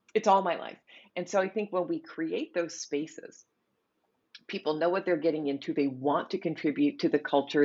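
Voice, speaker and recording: At a moderate pace and with lively intonation, a woman speaks in a plain, everyday voice with a fairly low pitch. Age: 50s. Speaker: product designer and author. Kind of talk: interview conversation.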